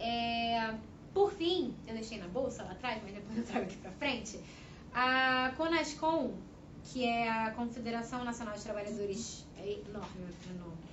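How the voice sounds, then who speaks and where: Amid noticeable background noise and audible room echo, a woman with a fairly high voice speaks at a fairly slow pace, with lively intonation and big swings in loudness. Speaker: panel speaker on women's rights. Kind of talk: panel talk. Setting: debate event at a union headquarters.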